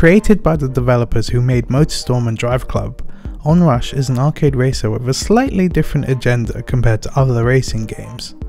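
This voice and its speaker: Quiet and fairly quick, a man speaks with music in the background. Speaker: game reviewer. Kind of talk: video game review narration.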